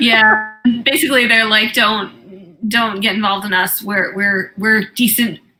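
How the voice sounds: The delivery is a natural reading voice. Its intonation stays fairly even.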